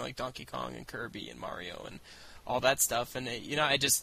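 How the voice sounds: The tone is bright and sharp, with vocal fry. Delivery comes at a fairly quick pace. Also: man.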